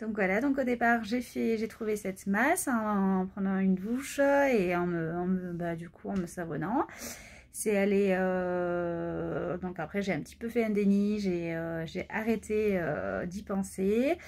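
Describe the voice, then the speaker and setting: Very slow speech from a woman at medium pitch, with ordinary pitch variation. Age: 20s. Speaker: pediatric nurse and cancer patient vlogger. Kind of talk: personal vlog testimony. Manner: hesitant, many fillers.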